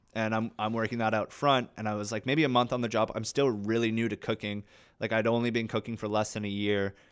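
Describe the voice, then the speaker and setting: This man talks at a very fast pace with a Canadian accent and monotone, flat intonation. The recording is very clean, with a silent background. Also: medium pitch for a man. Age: 20s. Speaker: actor. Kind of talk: casual chat.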